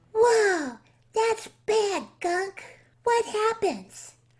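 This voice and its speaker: The clip features a cartoonish character voice at an extremely high pitch. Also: very clean recording, silent background. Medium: puppet.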